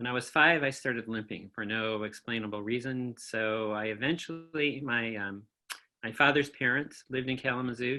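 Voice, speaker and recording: With music in the background, a man's speech moves at a fairly quick pace. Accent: American. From Michigan, US Midwest. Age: 70s. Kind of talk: oral history interview. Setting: video call.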